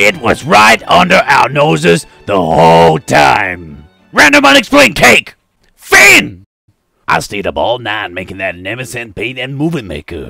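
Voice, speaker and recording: A man does a raspy, put-on character voice at medium pitch and a moderate pace, with big swings in loudness. Faint music plays in the background. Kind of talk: comic overacting, flatly read stage directions. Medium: cartoon.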